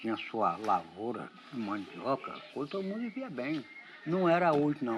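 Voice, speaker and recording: A man's fairly high voice moves at a moderate pace with very wide pitch swings, heard through noticeable background noise. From Brazil, Espírito Santo (Itaúnas). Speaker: local villager. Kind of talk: documentary interview.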